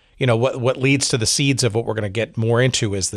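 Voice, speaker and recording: A man's voice at a medium pitch. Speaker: podcast host. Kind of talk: casual interview. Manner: hesitant, many fillers.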